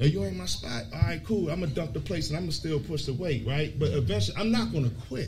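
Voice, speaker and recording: Talking very fast with hardly any pauses, a man with a fairly high pitch swings his pitch very widely, against audible room echo and noticeable background noise. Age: 40s. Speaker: podcast co-host. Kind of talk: live podcast panel talk. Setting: brewery with live audience.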